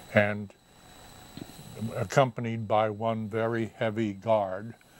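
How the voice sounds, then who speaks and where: An American-accented man talks very slowly at a medium pitch. His intonation is monotone and flat. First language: English and Japanese. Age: 80s+. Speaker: Japanese-American internment survivor, economist. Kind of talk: interview answer. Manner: hesitant, halting.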